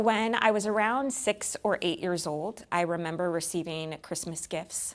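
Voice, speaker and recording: A normal speaking voice with an American accent, at a fairly slow pace and with ordinary pitch variation. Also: woman, fairly low pitch for a woman. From California. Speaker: Angel Tree Events Manager at a prison ministry. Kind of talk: personal testimony interview.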